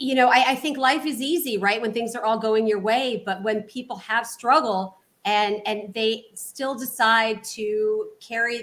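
A woman with an ordinary speaking voice talks at a fairly slow pace, fairly high in pitch with fairly even intonation, on a very clean recording with a silent background. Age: 40s. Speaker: real estate investor. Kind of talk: interview.

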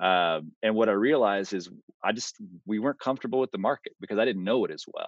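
In a normal speaking voice, a man with an American accent talks at a fairly quick pace, his fairly low pitch showing ordinary variation. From Texas, Austin. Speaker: real estate investor. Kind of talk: interview.

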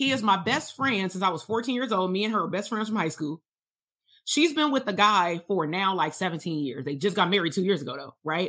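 Speaking at a fairly quick pace, a woman uses an animated, bright, sharp tone with lively intonation and medium pitch. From Compton, Los Angeles, California. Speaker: psychologist and business coach. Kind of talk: livestream coaching talk. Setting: livestream.

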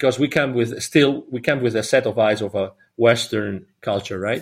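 This man has a Spanish accent. His intonation is lively. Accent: non-native, Spanish. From Catalonia, Spain. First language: Spanish or Catalan. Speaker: business consultant and philanthropist. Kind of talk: podcast interview.

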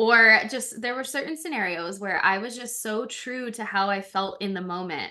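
A loud, animated woman speaks at a moderate pace with hardly any pauses, her bright, sharp voice fairly high-pitched with ordinary pitch variation. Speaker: life coach for pets and podcast co-host. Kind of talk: casual chat.

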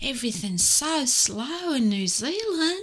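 A woman's put-on character voice, high-pitched with very wide pitch swings, at a fairly slow pace over light background noise. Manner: slow, drawling.

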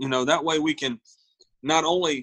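A man speaks fairly quickly with a Southern US accent and a bright, sharp tone. His pitch varies in an ordinary way, and the sound is dry and close with no echo. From US South, South Carolina. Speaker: singer-songwriter and Marine veteran. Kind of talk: interview conversation. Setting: video call.

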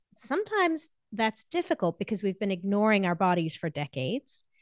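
A woman's fairly high voice moves through very wide pitch swings, recorded dry and close with no echo against a quiet background. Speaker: happiness coach and orthodontist. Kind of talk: interview; guided breathing exercise. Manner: slowed down, calm.

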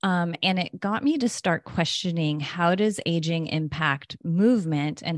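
A woman speaks with ordinary pitch variation in a dry, close recording with no echo and a quiet background. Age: 40s. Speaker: health coach and podcast co-host. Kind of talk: casual interview chat.

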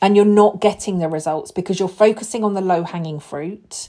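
At a fairly quick pace, a woman speaks with a medium pitch and a dark, mellow tone. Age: 40s. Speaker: podcast host and burnout coach. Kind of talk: solo podcast monologue. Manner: casual, unscripted.

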